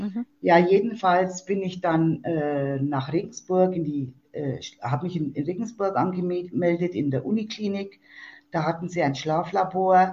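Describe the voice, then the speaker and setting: A woman speaks at a fairly slow pace in a fairly low, somewhat breathy voice with ordinary pitch variation. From Germany, Fichtelgebirge (Upper Franconia, Bavaria). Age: 60s. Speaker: support group leader and patient. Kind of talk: interview. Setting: phone call.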